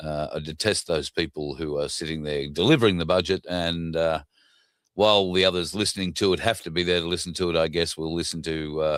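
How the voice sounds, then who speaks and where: Recorded very cleanly against a silent background, the speaker talks at a fairly quick pace with an Australian accent and fairly even intonation. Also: man, very deep, low pitch for a man. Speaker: political commentary show host. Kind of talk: casual monologue. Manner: hesitant, many fillers.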